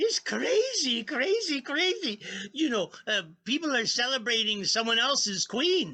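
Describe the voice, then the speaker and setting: A put-on character voice is delivered at a moderate pace with very even loudness. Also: man, extremely high pitch for a man. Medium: stage play. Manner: excitable, rambling.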